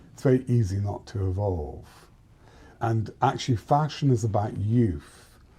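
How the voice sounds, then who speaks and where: Speaking with a British accent at a moderate pace, a man has a dark, mellow tone that is somewhat breathy, with big swings in loudness. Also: medium pitch for a man, ordinary pitch variation. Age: 60s. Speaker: fashion and interior designer. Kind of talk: interview conversation. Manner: halting.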